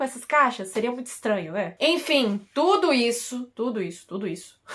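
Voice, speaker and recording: A woman with a high voice speaks with very wide swings in pitch. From Brazil (Piauí, Brasília). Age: 20s. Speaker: YouTuber. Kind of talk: casual vlog monologue.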